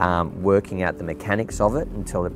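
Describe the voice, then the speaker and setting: A man with an Australian accent speaks in a very deep, low pitch at a moderate pace with fairly even intonation. The sound is dry with no echo, and there is noticeable background noise. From South Australia. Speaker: real estate agent and auctioneer. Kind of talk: interview answer. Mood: warm, enthusiastic. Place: garden.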